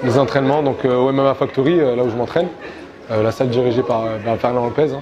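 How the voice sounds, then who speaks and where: A man talks at a very fast pace with fairly even intonation. Audible room echo and crowd noise fill the background. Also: medium pitch for a man. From Morocco, Rabat. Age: 20s. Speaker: MMA fighter and coach. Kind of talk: interview. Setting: gym. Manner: halting, many hesitations.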